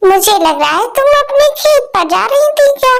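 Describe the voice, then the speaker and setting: A woman's cartoonish character voice, extremely high in pitch, at a moderate pace. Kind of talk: kids' cartoon voicing. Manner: kindly, motherly.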